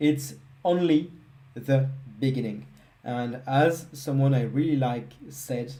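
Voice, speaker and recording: In a room with audible echo, a man with a French accent talks very slowly in a somewhat breathy, medium-pitched voice, leaving long, frequent pauses. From France. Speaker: software engineer, live coding presenter. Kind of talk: live coding stream wrap-up. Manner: casual, with hesitations.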